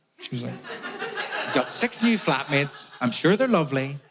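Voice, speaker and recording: The speaker is a man. He has a Northern Irish accent. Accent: Northern Irish (Belfast). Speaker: comedian. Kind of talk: stand-up.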